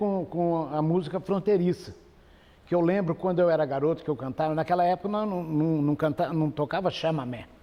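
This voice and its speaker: Here a man speaks at a high pitch and a moderate pace with ordinary pitch variation. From Campo Grande, Mato Grosso do Sul, Brazil. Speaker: radio broadcaster and folk singer. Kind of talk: interview answer. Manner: relaxed, conversational.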